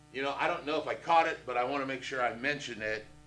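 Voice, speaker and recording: A man talks at a fairly quick pace and fairly high pitch with a bright, sharp tone. Audible room echo surrounds his voice. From Indianapolis, Indiana. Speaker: real estate instructor. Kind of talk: lecture. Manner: casual, conversational.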